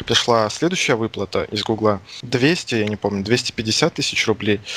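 A man with an unremarkable speaking voice talks at a moderate pace and medium pitch with ordinary pitch variation, in a dry, close sound with no echo. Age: 20s. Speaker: indie game developer. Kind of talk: interview. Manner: casual.

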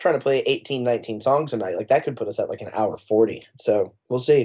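A man with an unremarkable speaking voice and a medium pitch talks at a fairly quick pace. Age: 20s. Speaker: singer and songwriter in a pop rock band. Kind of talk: casual interview.

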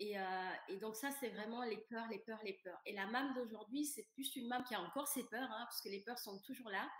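Pitched fairly high, a woman speaks at a moderate pace with ordinary pitch variation and hardly any pauses. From Senegal. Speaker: coach on vaginismus. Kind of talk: casual interview chat.

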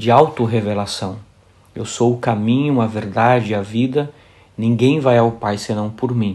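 Speaking in an unremarkable speaking voice at medium pitch, a man keeps a fairly slow pace and fairly even intonation. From Brazil, raised in São Bernardo do Campo, São Paulo. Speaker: priest and author. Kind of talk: interview about his book.

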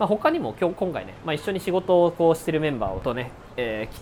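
Music playing behind a man's fairly quick speech. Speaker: entrepreneur podcast host. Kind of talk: solo monologue podcast. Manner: casual, filler-heavy.

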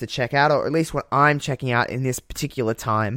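A man with a strong Australian accent speaks in an animated tone at a fairly high pitch with ordinary pitch variation. The recording is very clean, the background silent. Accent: broad Australian. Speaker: podcast host. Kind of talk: casual chat.

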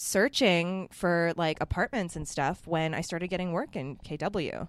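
A woman with a Canadian accent speaks at a fairly low pitch with ordinary pitch variation, in a very clean recording with a silent background. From Ontario, Canada (Mississauga). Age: 20s. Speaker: muralist artist. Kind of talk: casual interview chat.

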